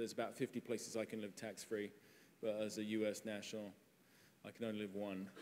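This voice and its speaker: A man talks with an English accent at a fairly quick pace. His pitch is medium. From England. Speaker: tech company CEO, panel moderator. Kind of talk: conference panel talk.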